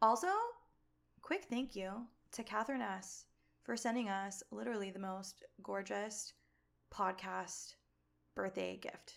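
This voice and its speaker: A woman speaks at a fairly slow pace with long, frequent pauses. Noticeable background noise sits behind her voice. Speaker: podcast co-host. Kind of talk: casual chat. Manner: animated.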